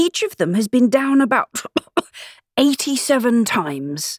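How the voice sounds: A woman puts on a character voice with a fairly high pitch and big pitch swings. She talks slowly, and the sound is dry and close with no echo.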